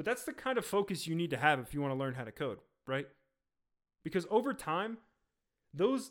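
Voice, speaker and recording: A man talks at a very fast pace with a fairly high pitch. The recording is very clean, with a silent background. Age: 20s. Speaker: podcast host, software engineer. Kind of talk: solo casual talk.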